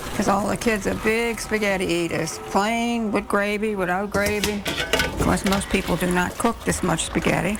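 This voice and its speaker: With music playing behind her, a woman speaks with fairly even intonation and very even loudness. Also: medium pitch for a woman, moderate pace. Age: 80s+. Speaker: grandmother who cooks for family. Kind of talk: interview answer.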